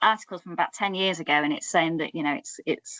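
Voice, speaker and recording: A woman speaks with a Yorkshire accent and lively intonation. The sound is dry and close, with no echo. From Yorkshire, northern England. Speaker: academic researcher. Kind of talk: academic seminar presentation. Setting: online seminar. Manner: conversational, with frequent fillers and restarts.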